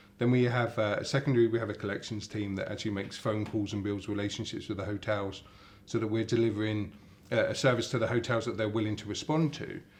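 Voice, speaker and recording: A man speaks with an English accent at a fairly low pitch. His intonation is monotone and flat. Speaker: company CEO. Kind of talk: interview. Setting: hotel in London. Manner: halting, many repetitions.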